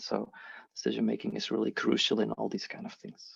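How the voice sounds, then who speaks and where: A speaker with a non-native accent talks at a fairly quick pace, the sound dry and close with no echo over a quiet background. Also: man. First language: not English. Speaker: agile and leadership coach. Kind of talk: online workshop presentation. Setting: video call.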